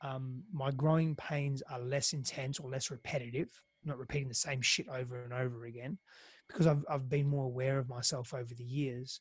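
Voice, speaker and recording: In a very clean recording with a silent background, a man with an Australian accent speaks fairly quickly in a medium-pitched, somewhat breathy voice. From Greece, then Australia. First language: Greek. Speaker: intimacy and relationship coach. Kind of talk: podcast interview. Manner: halting, frequent repetitions.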